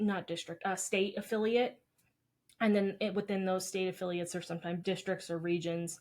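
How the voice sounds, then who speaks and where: A woman talks at a fairly quick pace in a medium pitch, with fairly even intonation and a plain, everyday voice. The recording is very clean, with a silent background. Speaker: dietitian podcast co-host. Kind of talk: casual chat.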